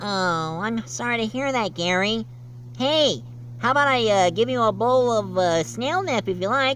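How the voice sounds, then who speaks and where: A put-on character voice at a fairly high pitch moves at a moderate pace over clear background noise. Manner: cheerful.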